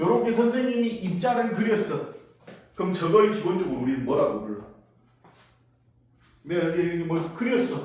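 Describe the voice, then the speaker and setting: Audible room echo surrounds a man's voice. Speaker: science teacher. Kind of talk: classroom lecture. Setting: classroom, being filmed. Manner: animated, casual with swearing.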